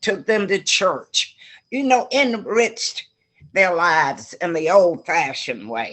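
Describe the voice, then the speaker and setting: A woman speaks at a medium pitch with vocal fry and a very slow pace. Her pitch swings very widely. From US South, Georgia (moved to Ohio at 11). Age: 80s+. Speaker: retired community volunteer. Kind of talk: interview.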